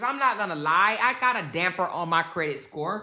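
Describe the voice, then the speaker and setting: A woman talks loudly at a moderate pace, her pitch swinging very widely. Her tone is animated, bright and sharp. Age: 50s. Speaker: YouTube commentary host. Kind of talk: casual commentary livestream.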